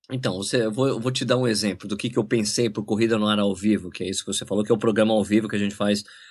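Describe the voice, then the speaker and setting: Against a quiet background, a man talks at a very fast pace in a fairly low pitch with monotone, flat intonation. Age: 40s. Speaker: running YouTuber and journalist. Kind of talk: casual interview chat.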